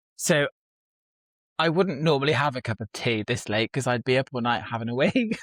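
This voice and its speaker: Speaking at a fairly quick pace, a man has a medium pitch with ordinary pitch variation. The sound is dry and close, with no echo. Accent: British. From UK. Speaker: aspiring novelist. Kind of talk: casual chat. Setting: video call.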